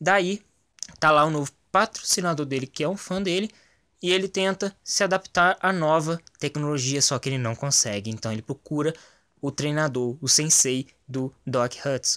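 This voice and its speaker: A bright, sharp tone with ordinary pitch variation moves at a moderate pace in a very clean recording with a silent background and a dry, close sound with no echo. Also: man, fairly high pitch for a man. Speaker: gaming YouTuber giving movie review. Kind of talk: casual video review monologue. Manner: animated.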